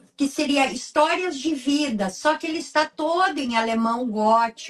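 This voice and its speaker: The speaker is a woman. She talks with lively intonation. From southern Brazil, Candelária, Rio Grande do Sul. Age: 60s. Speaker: writer and researcher. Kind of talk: interview. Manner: halting, many fillers.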